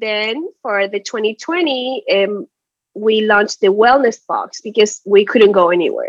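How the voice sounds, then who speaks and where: A woman with a Spanish accent, fairly high in pitch with ordinary pitch variation, at a fairly slow pace, in a dry, close sound with no echo. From Chile. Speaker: small business owner. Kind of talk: advice session.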